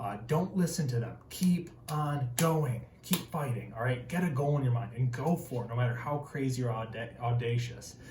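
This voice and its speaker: Over noticeable background noise, a man with an American accent speaks in an animated tone at a medium pitch and a moderate pace, with ordinary pitch variation and hardly any pauses. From Northern Michigan, rural. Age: 20s. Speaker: tradesman and motivational video host. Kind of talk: motivational talk to camera.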